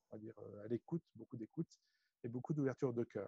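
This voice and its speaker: The recording is dry and close with no echo. A man speaks at a medium pitch with a dark, mellow tone and ordinary pitch variation. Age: 40s. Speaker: energy healer and business coach. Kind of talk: interview. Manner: halting, many fillers and repetitions.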